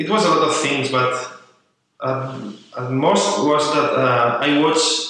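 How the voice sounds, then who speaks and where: In a Spanish accent, a man speaks at a very slow pace and fairly high pitch with ordinary pitch variation and audible room echo. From Spain. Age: 20s. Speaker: journalist and writer. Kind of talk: interview. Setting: coworking space. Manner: halting.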